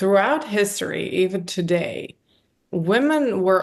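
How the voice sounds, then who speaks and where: Speaking at a fairly slow pace, a woman with a non-native accent uses a medium pitch. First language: not English. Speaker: psychotherapist. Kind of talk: interview.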